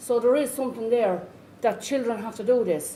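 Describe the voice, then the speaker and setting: A woman with a rural Irish accent speaks at a moderate pace in a fairly high pitch, with audible room echo. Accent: rough Irish country. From rural Ireland, Irish Traveller community. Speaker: Traveller community education worker and parent. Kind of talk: conference talk. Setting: conference.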